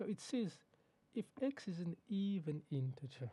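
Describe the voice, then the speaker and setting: A man speaks in a dark, mellow tone that is somewhat breathy, with ordinary pitch variation. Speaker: maths teacher. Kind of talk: tutorial. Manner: fast.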